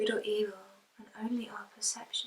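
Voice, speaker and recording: A woman speaks in a fairly high pitch. Her intonation is monotone and flat. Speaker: poet. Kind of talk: spoken word poetry reading.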